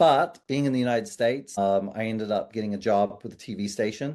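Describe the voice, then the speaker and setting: In a New Zealand accent, a man talks at a fairly quick pace with a dark, mellow tone. His intonation stays fairly even, and the background is quiet. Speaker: business owner, agency CEO. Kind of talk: podcast interview.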